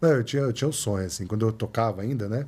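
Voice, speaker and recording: Somewhat breathy, this man's fairly low voice has a dark, mellow tone and ordinary pitch variation. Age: 40s. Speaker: photographer and researcher; podcast guest. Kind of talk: casual interview. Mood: relaxed, reflective. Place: studio. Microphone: studio mic.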